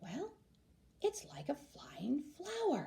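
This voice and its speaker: A high-pitched, put-on character voice with very wide pitch swings. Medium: read story. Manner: bubbly, encouraging.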